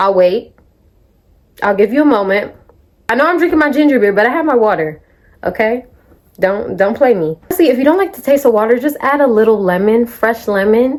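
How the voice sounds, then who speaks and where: At a fairly quick pace but with long, frequent pauses, a woman speaks in an animated tone, her fairly high pitch making very wide swings. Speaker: vlogger. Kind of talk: casual chat.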